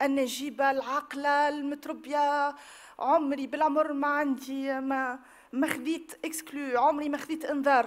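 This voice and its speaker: Against a quiet background, a woman with a Tunisian accent speaks at a high pitch and fairly slow pace in a monotone, flat intonation. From Tunisia, Tunis. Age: 30s. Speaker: victim giving testimony; witness. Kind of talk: testimony. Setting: public hearing with audience. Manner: halting. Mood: emotional, earnest. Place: hall. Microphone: podium.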